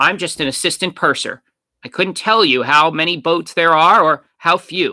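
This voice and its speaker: Using a put-on character voice pitched high for a man, a man talks at a moderate pace with ordinary pitch variation on a very clean recording with a silent background. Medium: read story. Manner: polite, hesitant.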